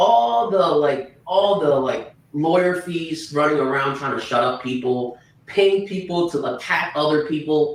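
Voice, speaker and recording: There is noticeable noise behind this man's fairly high voice. He talks at a fairly slow pace with hardly any pauses. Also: ordinary pitch variation. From China. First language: Chinese. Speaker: true crime commentator. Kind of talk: livestream discussion. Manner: halting, repeats words.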